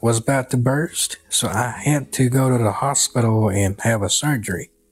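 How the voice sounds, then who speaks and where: At a fairly slow pace, a man speaks in a somewhat breathy, medium-pitched voice with ordinary pitch variation. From Kunming, Yunnan, China. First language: Chinese. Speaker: cowboy and storyteller. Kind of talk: storytelling, personal narrative.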